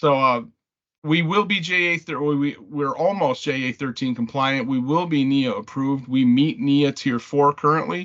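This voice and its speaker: A man's fairly high voice with ordinary pitch variation, over a quiet background. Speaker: manufacturer representative. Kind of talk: product presentation. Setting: conference call. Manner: fast.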